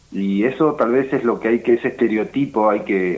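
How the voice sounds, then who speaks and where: The man's pitch sits fairly low, and he talks at a moderate pace. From Argentina, Patagonia (Río Negro). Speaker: folk ballet director and dance teacher. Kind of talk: interview. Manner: halting, many repetitions.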